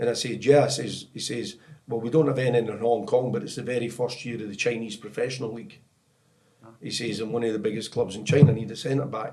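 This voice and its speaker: Over music in the background, a man with a Scottish accent speaks very fast at medium pitch, with ordinary pitch variation and big swings in loudness. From Scotland. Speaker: football technical director, former professional player. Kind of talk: podcast interview, storytelling. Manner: animated.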